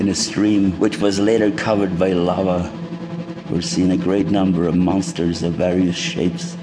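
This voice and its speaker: Music plays behind a man with a very deep, low voice and a solemn, dramatic tone. He keeps a moderate pace at very even loudness. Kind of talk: scripted narration. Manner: solemn, measured.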